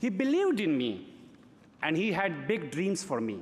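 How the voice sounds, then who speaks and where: This man talks at a fairly slow pace in a high pitch. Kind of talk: gala award acceptance speech. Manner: reflective, storytelling.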